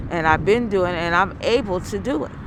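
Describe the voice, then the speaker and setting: A woman's voice, with ordinary pitch variation, sits against noticeable background noise. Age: 70s. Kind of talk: interview answer.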